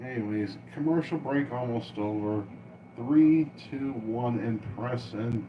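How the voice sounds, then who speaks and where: A man at medium pitch, very slow pace and ordinary pitch variation, with long, frequent pauses and noticeable background noise. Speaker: cartoon reaction livestreamer. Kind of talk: reaction livestream commentary. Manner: loud.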